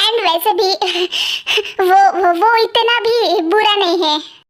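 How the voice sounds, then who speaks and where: A woman uses a put-on character voice with an extremely high pitch, speaking at a very slow pace with fairly even intonation. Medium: fan dub. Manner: sassy, comic.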